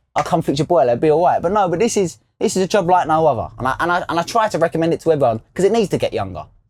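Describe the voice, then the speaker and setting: Talking at a very fast pace with hardly any pauses, a man with a London accent uses a high pitch and lively intonation. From South East London. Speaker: trainee taxi driver. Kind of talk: casual interview. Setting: in a car.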